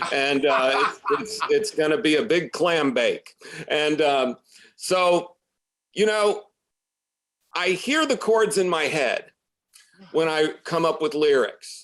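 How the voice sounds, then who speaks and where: With an American accent, a man talks at a very slow pace in a high pitch, his intonation lively and his loudness very even. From US Midwest, Champaign, Illinois. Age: 50s. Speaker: musician. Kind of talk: interview.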